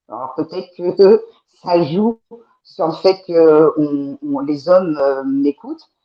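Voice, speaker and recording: Her pace is very slow, and this woman's pitch sits fairly low. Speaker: guest on talk show. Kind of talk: panel discussion. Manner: direct, assertive.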